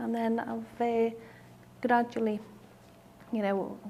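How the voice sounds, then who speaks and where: A woman in a Liverpool accent, fairly high in pitch, with monotone, flat intonation. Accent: Scouse (Liverpool). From Liverpool, England. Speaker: brain haemorrhage survivor with aphasia. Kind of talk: personal testimony. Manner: halting, many fillers and restarts (aphasia); slow.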